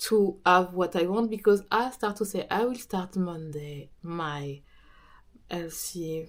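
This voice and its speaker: Speaking very slowly with a French accent, a woman is heard in a very clean recording with a silent background. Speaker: business coach and podcaster. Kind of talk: casual talk to camera.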